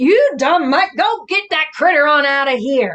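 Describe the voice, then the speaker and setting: A woman uses a gruff put-on character voice, high in pitch, with lively intonation. She speaks at a moderate pace. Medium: read story. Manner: gruff, scolding.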